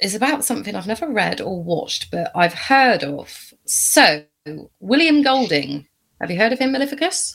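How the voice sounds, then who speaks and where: A woman's bright, sharp voice at a fairly slow pace, with very wide pitch swings. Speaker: podcast co-host. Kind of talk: casual chat.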